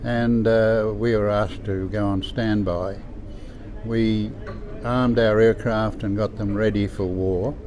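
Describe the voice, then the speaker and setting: With an Australian accent, a man speaks fairly slowly at a fairly low pitch, his intonation monotone and flat. Noticeable background noise and audible room echo are present. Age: 90s. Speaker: war veteran. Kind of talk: testimony. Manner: halting.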